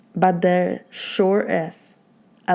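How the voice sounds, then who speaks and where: This is a woman speaking with a Polish accent. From Poland. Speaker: life coach. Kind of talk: motivational talk.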